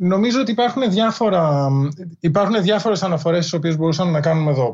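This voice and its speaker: Against a quiet background, a man speaks in a high voice. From Greece. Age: 40s. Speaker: history professor and author. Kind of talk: interview. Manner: halting, many fillers.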